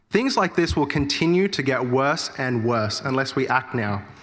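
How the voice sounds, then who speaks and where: Bright and sharp in tone, a man with an Australian accent speaks at a moderate pace with a fairly high pitch and lively intonation. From Australia (Sydney), born in India. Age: 20s. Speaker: political candidate. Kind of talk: campaign speech at candidates forum. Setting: church hall forum with audience.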